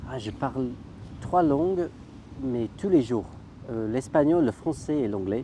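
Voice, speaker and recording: A man with a medium pitch and a dark, mellow tone uses lively intonation at a very slow pace, leaving long, frequent pauses. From United Kingdom. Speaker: language video maker. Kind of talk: interview.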